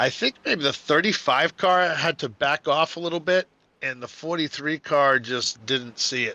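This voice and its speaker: A man with a New England accent speaks in a bright, sharp tone with ordinary pitch variation, the sound dry and close with no echo against a quiet background. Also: fairly high pitch for a man, moderate pace. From New England, Boston area. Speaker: sim racing commentator. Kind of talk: live commentary. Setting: live stream. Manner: animated.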